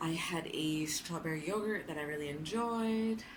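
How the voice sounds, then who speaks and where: There is audible room echo as a woman speaks at a fairly low pitch. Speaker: vlogger. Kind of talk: casual vlog monologue. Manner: loud; talkative, lots of fillers.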